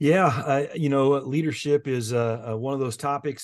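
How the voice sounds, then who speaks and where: Against a quiet background, a man with a Midwestern American accent speaks at a fairly slow pace with fairly even intonation. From Indiana. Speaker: education association executive. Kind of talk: interview. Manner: hesitant, many fillers.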